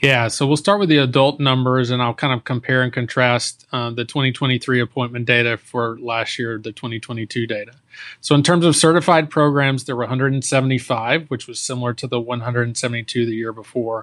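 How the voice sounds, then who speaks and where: A man with an American accent and an ordinary speaking voice talks at a moderate pace in a medium pitch. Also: fairly even intonation, hardly any pauses. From Texas. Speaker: infectious disease physician and professor. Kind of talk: casual professional interview.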